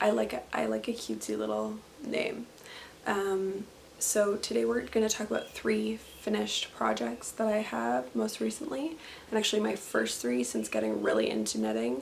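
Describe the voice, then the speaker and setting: A woman with a Canadian accent at a moderate pace, with noticeable background noise. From Canada, southwestern Ontario. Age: 20s. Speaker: knitting podcaster and teacher. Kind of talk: casual video podcast monologue. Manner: relaxed, frequent fillers.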